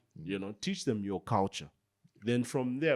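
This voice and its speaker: A man talks at a fairly quick pace with a Zambian accent. The recording is very clean, with a silent background. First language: Bemba. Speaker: podcast host. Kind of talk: casual chat.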